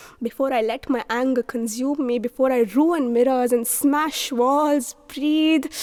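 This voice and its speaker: Hardly pausing at all, a woman speaks at a high pitch with fairly even intonation. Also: fairly slow pace. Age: 20s. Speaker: poet. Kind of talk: spoken word poetry.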